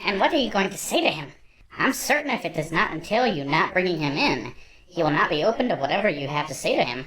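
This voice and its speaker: A woman's put-on character voice, fairly low in pitch, very fast, with very wide pitch swings. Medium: audio drama. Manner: formal, proper.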